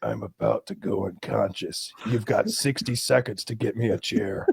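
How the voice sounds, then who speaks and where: A man whispers in a put-on character voice at a moderate pace. The whisper is raspy. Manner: whispering, urgent.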